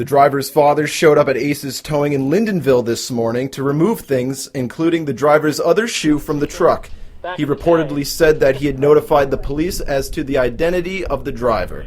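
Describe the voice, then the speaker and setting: Over music in the background, a man talks at a fairly high pitch with ordinary pitch variation. His pace is fairly quick, with hardly any pauses. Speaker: TV news reporter and anchor. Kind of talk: anchor reading news copy. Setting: broadcast news studio and field reports.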